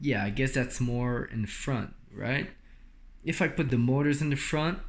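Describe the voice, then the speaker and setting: With a non-native accent, a man speaks at a fairly slow pace and medium pitch, with ordinary pitch variation, very even loudness and audible room echo. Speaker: DIY electric skateboard builder. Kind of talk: tutorial. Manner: halting, many fillers.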